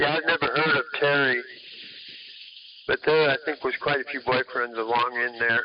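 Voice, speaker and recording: With a fairly high pitch and monotone, flat intonation, a man speaks through long, frequent pauses against noticeable background noise. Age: 60s. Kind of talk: casual chat.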